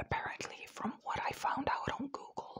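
The voice is a woman's, and she is whispering. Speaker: ASMR creator. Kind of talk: ASMR whisper ramble to camera. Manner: whispered, cupped close to the mic; tired, soft. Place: home room. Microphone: lapel.

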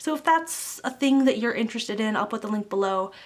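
Bubbly and animated, a woman talks at a very fast pace with a fairly high pitch. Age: 20s. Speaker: YouTuber / vlogger. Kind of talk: casual vlog monologue to camera. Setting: alone in a room, recording to camera. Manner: bubbly, animated.

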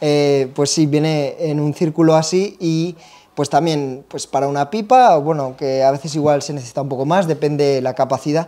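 This man's voice is fairly high for a man, with a dark, mellow tone. He keeps a moderate pace and fairly even intonation. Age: 30s. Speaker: pipe tobacco shop video host. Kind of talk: casual product review chat. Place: shop. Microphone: lapel.

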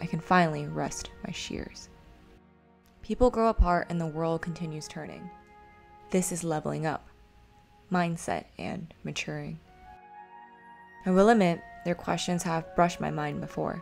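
Music plays in the background as a woman talks in a calm tone. Her loudness swings widely, and she takes long, frequent pauses. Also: moderate pace. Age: 20s. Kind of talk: poetic diary narration. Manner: reflective, calm.

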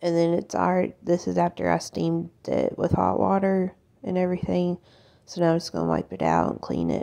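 Behind the voice, the background is quiet. A woman talks at a medium pace. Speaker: home cleaning vlogger. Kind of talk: casual vlog chat. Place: kitchen.

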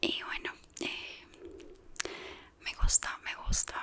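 A woman is whispering. Her voice stays in a whisper. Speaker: ASMR creator. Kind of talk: casual chat to camera. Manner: whispered. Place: home room. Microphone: studio mic.

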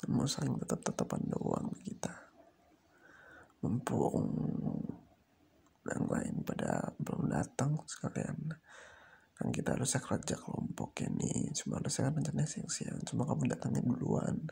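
A man speaks in a raspy, put-on character voice at a moderate pace. Long pauses come often.

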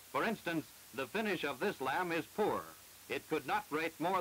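A man with a fairly high voice speaks at a moderate pace with ordinary pitch variation over noticeable background noise. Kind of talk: 1948 educational film narration. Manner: formal, measured, didactic; brisk and matter-of-fact, like a newsreel announcer.

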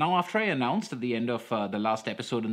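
A man with lively intonation against a quiet background. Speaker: comics reviewer. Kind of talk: commentary. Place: home room.

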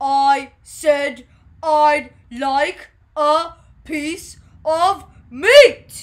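A put-on character voice bellows at a high pitch. It moves at a very slow pace with long, frequent pauses. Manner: roaring, booming.

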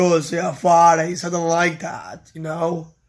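On a very clean recording with a silent background, a man speaks fairly slowly at a high pitch. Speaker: vlogger. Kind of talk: casual vlog talk. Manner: halting, many fillers.

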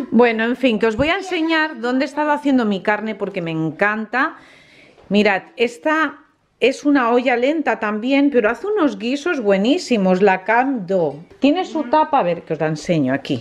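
At a moderate pace, a woman talks in a high voice. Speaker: family vlogger. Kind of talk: casual vlog chat. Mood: cheerful, enthusiastic. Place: kitchen. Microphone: phone near.

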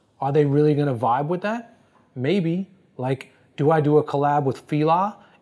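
A plain, everyday voice with an American accent and ordinary pitch variation. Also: man. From New Jersey. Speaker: fashion industry expert; interview guest. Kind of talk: interview. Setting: on camera. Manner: fast. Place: office.

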